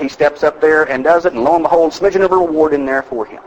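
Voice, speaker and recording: A man with an American accent talks very fast over noticeable background noise. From Texas. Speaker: motivational speaker. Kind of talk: keynote speech to live audience. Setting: live event hall. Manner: high-energy.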